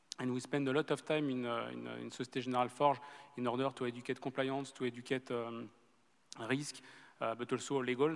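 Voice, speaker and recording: Talking at a very fast pace, a man with a strong French accent keeps a medium pitch and a monotone, flat intonation. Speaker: bank executive on a panel. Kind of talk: panel discussion. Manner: halting, many fillers.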